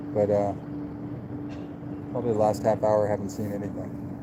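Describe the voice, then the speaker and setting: A man with an American accent at a fairly quick pace, ordinary pitch variation, and noticeable background noise. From United States. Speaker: fishing livestreamer. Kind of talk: casual live-stream chat. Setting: outdoors by a river.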